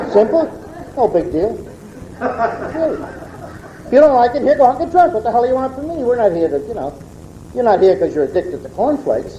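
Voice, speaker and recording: Over noticeable background noise, a man talks at a very fast pace with long, frequent pauses, his extremely high voice making very wide pitch swings. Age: 60s. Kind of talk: testimony. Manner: animated.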